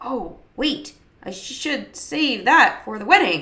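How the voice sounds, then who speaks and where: A woman uses a put-on character voice with a high pitch. Her pitch swings very widely at a fairly slow pace. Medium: read story. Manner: earnest, slightly awkward.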